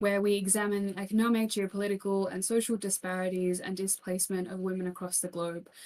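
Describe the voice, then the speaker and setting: A woman with an Australian accent at a medium pitch, at a very fast pace with hardly any pauses. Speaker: keynote speaker, criminologist. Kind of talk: keynote talk. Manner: animated.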